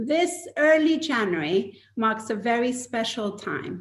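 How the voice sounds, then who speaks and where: Speaking fairly slowly, a woman with a fairly high pitch uses lively intonation in a normal speaking voice. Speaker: event moderator / co-chair of an arts organisation. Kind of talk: moderator introducing a live panel talk.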